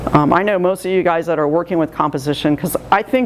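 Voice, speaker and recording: A woman's fairly low voice with lively intonation, over noticeable background noise. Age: 60s. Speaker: art juror. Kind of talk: art critique talk. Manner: hesitant, many fillers.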